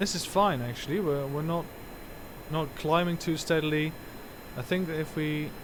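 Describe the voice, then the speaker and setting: Audible room echo surrounds a man at a fairly high pitch who uses fairly even intonation at a moderate pace with long, frequent pauses. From Netherlands. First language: Dutch. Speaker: gaming streamer. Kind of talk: live gameplay commentary. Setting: live stream. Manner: halting, many fillers.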